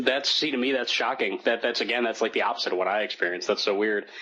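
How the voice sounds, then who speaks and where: Very rapid male speech against noticeable background noise. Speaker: podcast co-host. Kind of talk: casual chat. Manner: fast, trips over words.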